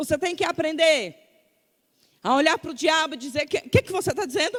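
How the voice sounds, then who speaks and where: Extremely high in pitch, a woman speaks with an animated tone and lively intonation at a moderate pace, broken by long, frequent pauses. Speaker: preacher. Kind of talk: sermon.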